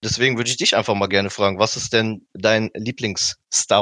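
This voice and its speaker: Bright and sharp in tone, a man's fairly low voice moves at a moderate pace with fairly even intonation and a dry, close sound with no echo. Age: 20s. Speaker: graphic designer. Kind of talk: casual chat. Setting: video call.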